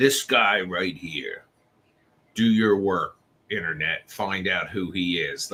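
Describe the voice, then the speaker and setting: A man speaks in a put-on character voice, fairly low in pitch. His pace is fairly slow. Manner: tough, commanding.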